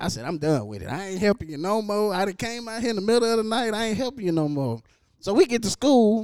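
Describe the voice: Spoken at a fast pace, the voice has a clear, smooth, slightly mellow tone and big pitch swings. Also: man, high pitch for a man.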